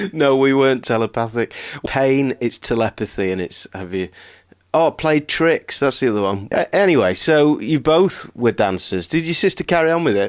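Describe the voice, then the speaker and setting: A man with a Lancashire accent speaks at medium pitch with very wide pitch swings, in a dry, close sound with no echo on a very clean recording with a silent background. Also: moderate pace. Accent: northern English (Lancashire). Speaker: podcast host. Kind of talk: interview.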